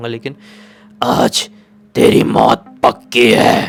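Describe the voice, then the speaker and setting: A man puts on a character voice. It is raspy and medium in pitch. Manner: menacing.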